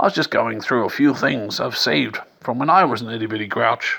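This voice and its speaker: A man's raspy put-on character voice, medium in pitch, at a fairly quick pace. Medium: read story. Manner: gruff, grumbling.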